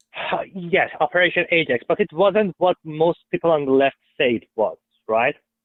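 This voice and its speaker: A man with a strong Persian accent speaks at a high pitch with ordinary pitch variation. His pace is moderate and his loudness very even. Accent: thick Persian. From Iran. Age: 20s. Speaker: caller, Trump supporter. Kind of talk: heated debate. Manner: halting.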